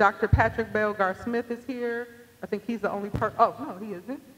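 This woman talks at a moderate pace. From US Midwest. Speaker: nonprofit executive director. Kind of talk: event hosting speech. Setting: stage with audience. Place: hall. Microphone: handheld.

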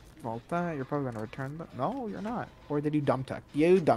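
A man's fairly high-pitched voice at a fairly quick pace, with lively intonation and music in the background. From Mexican heritage. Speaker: gaming co-streamer giving tips. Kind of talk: casual live-stream gameplay chat. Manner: animated, laughing.

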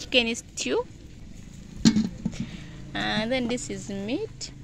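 A woman talks at a very slow pace over loud background noise. The sound is dry, with no echo. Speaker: home cook vlogger. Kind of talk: casual vlog chat. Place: open country. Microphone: phone near.

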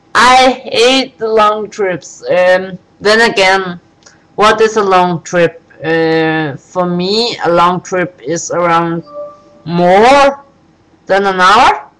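Music plays in the background as a woman talks. She goes at a very slow pace with ordinary pitch variation. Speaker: vlogger. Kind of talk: casual vlog chat. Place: home room. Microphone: webcam.

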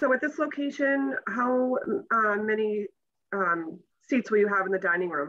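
The voice has a bright, sharp tone and lively intonation at a moderate pace. Its loudness stays very even. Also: woman, fairly high pitch for a woman. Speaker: licensing board chair. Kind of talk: formal public hearing. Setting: video call. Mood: polite, procedural. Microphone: video call.

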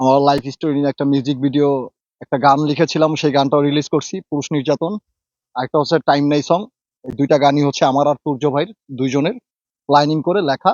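Fairly high in pitch, a man speaks with fairly even intonation. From Bangladesh, Dhaka. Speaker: social media actor. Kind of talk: interview. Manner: halting.

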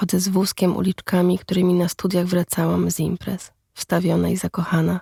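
A woman speaks at a moderate pace in a dark, mellow, somewhat breathy tone, her intonation monotone and flat, with a dry, close sound and no echo. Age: 30s. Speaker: podcast narrator, writer. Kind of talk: scripted narration.

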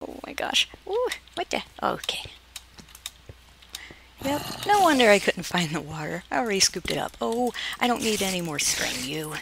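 A woman's voice, dry with no echo, rises and falls sharply in loudness, broken by long, frequent pauses over light background noise. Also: moderate pace. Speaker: gaming video creator. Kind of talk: casual gameplay commentary. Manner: whispered when tense. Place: home room.

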